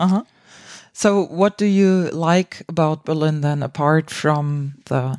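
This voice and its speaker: A woman's very deep, low voice with fairly even intonation, in a very clean recording with a silent background. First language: German. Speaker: improv podcast host. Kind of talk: casual interview.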